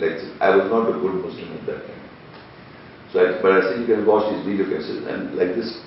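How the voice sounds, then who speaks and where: This man talks very rapidly, with noticeable background noise throughout. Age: 60s. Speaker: internet TV presenter and Quran researcher. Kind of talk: heated debate.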